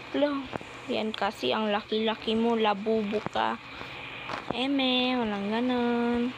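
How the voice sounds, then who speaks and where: The voice is quiet and very slow, with very even loudness. Noticeable background noise runs underneath. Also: woman, fairly high pitch for a woman, fairly even intonation. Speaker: vlogger playing a stacking game. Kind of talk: casual gaming vlog. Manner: quiet, lowered voice.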